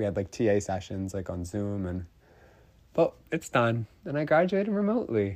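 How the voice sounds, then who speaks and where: A man at a fairly low pitch and a moderate pace. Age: 20s. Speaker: podcast host. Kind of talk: casual monologue.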